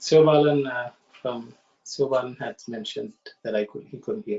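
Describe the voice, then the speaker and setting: A man speaks at a moderate pace. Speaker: study circle facilitator. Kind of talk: online study discussion. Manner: halting; soft-spoken.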